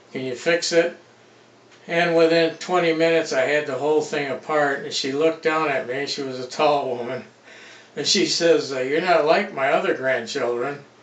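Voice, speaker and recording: Through noticeable background noise, a man with a fairly high pitch speaks at a moderate pace with fairly even intonation. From Detroit, Michigan. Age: 70s. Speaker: retired machine repairman and hydraulics mechanic. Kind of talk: casual self-introduction vlog. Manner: casual, with many filler uhs.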